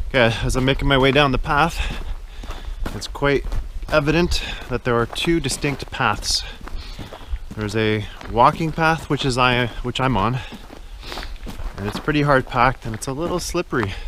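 A man at a moderate pace with ordinary pitch variation and long, frequent pauses, dry with no echo, over light background noise. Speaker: hiker vlogger. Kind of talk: casual vlog chat. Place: forest. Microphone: phone near.

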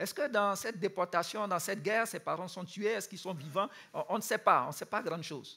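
A man's high, raised and projected voice, bright and sharp in tone, at a fairly quick pace over a quiet background. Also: ordinary pitch variation. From Ivory Coast. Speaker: youth camp speaker; speaker. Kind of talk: sermon. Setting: youth camp with audience. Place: stage.

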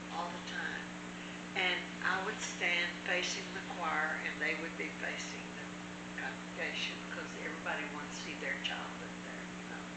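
Moderate-paced speech amid loud background noise and audible room echo. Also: woman. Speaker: church teacher. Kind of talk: personal story told in conversation. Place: home room. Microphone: camera far.

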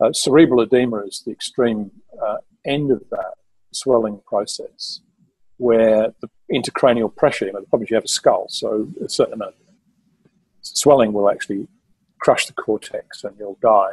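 A man's speech with big swings in loudness and long, frequent pauses, over a quiet background. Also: moderate pace, dry sound with no echo. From London, England. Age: 60s. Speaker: mountaineer and author; podcast guest. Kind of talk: interview storytelling. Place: home room. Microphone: video call.

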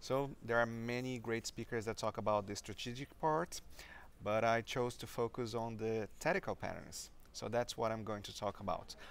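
With a Brazilian accent, a man speaks at a moderate pace. His pitch variation is ordinary. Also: dry sound with no echo. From Brazil (Maringá, Paraná). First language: Portuguese. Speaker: software developer and conference speaker. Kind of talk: interview. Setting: conference venue. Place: meeting room.

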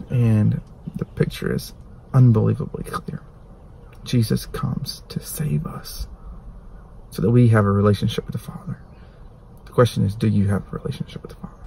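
A man talks at a fairly quick pace with big swings in loudness, in a dry recording with no echo and light background noise. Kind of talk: devotional sermon-like vlog talk. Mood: earnest, urging. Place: car. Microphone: phone near.

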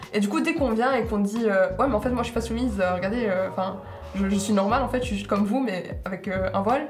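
Very fast speech from a woman with ordinary pitch variation and light background noise. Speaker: university student. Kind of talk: group discussion. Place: home room. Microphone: lapel.

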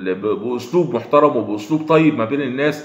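The speaker uses an Egyptian accent with ordinary pitch variation, and audible room echo surrounds the voice. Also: man. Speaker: online news commentator. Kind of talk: video commentary monologue. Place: home room. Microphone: phone near.

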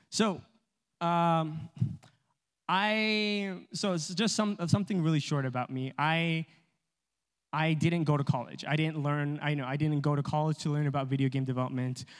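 In an American accent, a man speaks at a fairly high pitch and a moderate pace, with ordinary pitch variation. He leaves long, frequent pauses against a quiet background. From Los Angeles, US. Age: 20s. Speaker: video game developer; presenter. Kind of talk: church talk presentation. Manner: casual, hesitant with fillers. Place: church. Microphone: handheld.

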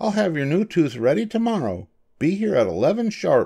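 A man does a put-on character voice, fairly high-pitched, with big pitch swings and vocal fry. His tone is dark and mellow with a slightly husky edge. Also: moderate pace.

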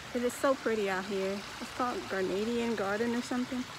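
A woman speaks in a high voice with ordinary pitch variation, the sound dry with no echo and noticeable background noise behind her. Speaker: vlogger. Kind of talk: casual vlog chat. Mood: happy, excited. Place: garden. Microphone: phone near.

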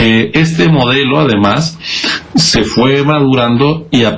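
The speaker is a man. His pitch variation is ordinary. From Mexico. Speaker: electoral official; council guest. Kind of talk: news interview. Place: home room. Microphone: video call.

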